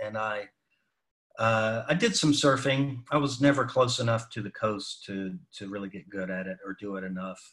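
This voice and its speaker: In an American accent, a man with an ordinary speaking voice talks at a moderate pace with lively intonation. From North Carolina, Salisbury. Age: 50s. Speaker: photographer. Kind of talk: casual chat.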